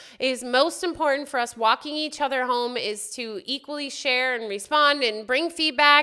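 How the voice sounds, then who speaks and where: Her voice raised and projected, a woman speaks at a fairly slow pace in a bright, sharp tone with lively intonation. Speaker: spiritual self-help video host. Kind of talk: solo spiritual talk to camera. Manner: loud, passionate; conversational, with fillers.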